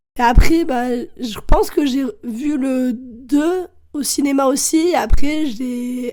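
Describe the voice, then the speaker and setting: Her pitch high for a woman, a woman with a dark, mellow tone talks at a very slow pace with ordinary pitch variation. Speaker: podcast guest. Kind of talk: casual chat. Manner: hesitant, many fillers.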